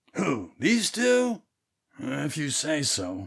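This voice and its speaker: Using a raspy, put-on character voice, a man speaks at a fairly high pitch with very wide pitch swings. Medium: audio drama. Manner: deadpan, sardonic.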